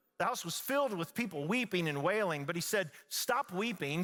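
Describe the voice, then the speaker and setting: This man's voice is high-pitched, with a bright, sharp tone and lively intonation. The recording is very clean, with a silent background. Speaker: pastor delivering a sermon. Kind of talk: church sermon, live preaching. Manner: conversational, earnest.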